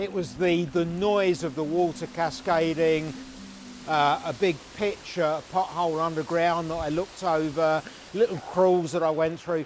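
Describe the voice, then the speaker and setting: A man's high voice, with normal rise and fall in pitch, comes through over clear background noise. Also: fairly slow pace. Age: 60s. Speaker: caver. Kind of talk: documentary interview.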